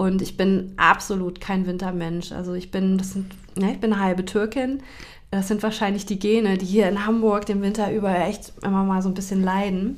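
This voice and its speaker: A woman speaks in a monotone, flat way at medium pitch and a moderate pace. Room echo is audible. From Hesse, Germany (Taunus near Frankfurt). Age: 40s. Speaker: grief counselor and children's book author. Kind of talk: casual interview chat.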